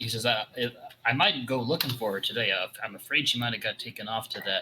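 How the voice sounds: Natural reading voice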